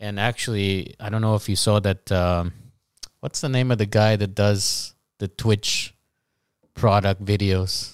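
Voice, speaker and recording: A man with an American accent speaks in a normal speaking voice, pitched fairly low, at a fairly slow pace. The recording is very clean, with a silent background. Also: fairly even intonation. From US, Guatemalan family. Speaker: English teacher. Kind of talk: casual interview chat.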